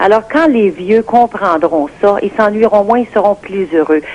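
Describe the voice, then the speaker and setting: With noticeable background noise behind her, a woman speaks fairly slowly at medium pitch, her intonation lively. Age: 60s. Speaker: caller. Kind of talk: radio call-in opinion.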